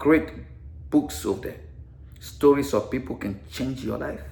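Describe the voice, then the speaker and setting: The speaker is a man. He has an African accent. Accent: foreign (African). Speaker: veteran and author, former teacher. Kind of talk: personal vlog monologue. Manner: animated; repetitive, stammering at times.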